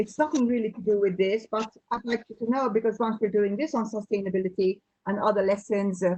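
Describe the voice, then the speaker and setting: A woman speaks at a fairly quick pace in a fairly high pitch. Her voice is somewhat breathy, with ordinary pitch variation. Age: 60s. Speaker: teacher, webinar participant. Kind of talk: question in a webinar.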